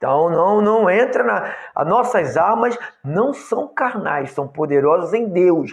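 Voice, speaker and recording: A man speaks with very wide pitch swings. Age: 60s. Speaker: pastor. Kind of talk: sermon. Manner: halting.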